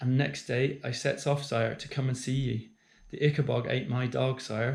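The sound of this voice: Here is an unforced reading voice. Its intonation is fairly even.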